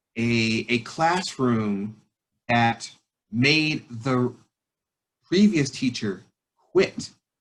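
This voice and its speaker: Lively intonation runs through a man's medium-pitched voice. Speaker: teacher. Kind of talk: panel talk.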